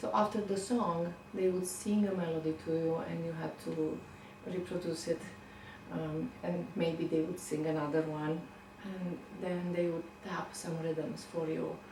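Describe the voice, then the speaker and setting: Speaking fairly slowly with a Romanian accent, a woman keeps a fairly low pitch and fairly even intonation amid noticeable background noise and audible room echo. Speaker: violinist. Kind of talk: interview.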